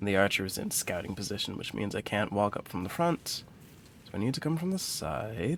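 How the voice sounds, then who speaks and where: A man talks at a fairly quick pace with an American accent. His pitch swings very widely. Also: fairly low pitch for a man. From US Midwest, Detroit, Michigan. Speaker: streamer, counseling student. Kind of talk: live gameplay stream chat. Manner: careful, precise diction.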